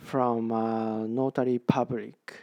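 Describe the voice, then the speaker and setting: With a Japanese accent, a man talks at a medium pitch in a dark, mellow tone, the sound dry and close with no echo. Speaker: real estate agent. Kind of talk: tutorial. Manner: halting, many fillers and repeats.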